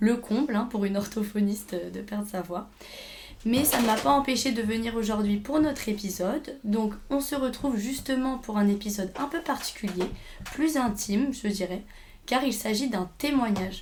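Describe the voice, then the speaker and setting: With noticeable background noise behind her, a woman speaks at a moderate pace in a fairly high pitch with ordinary pitch variation. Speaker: podcast host, speech therapy student. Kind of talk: interview.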